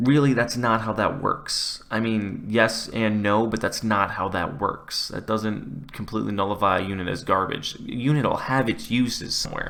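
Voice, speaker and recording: A man mumbles at a moderate pace with hardly any pauses, his medium-pitched voice showing ordinary pitch variation over audible room echo. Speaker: gaming YouTuber. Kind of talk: gameplay commentary. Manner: mumbling; casual, conversational.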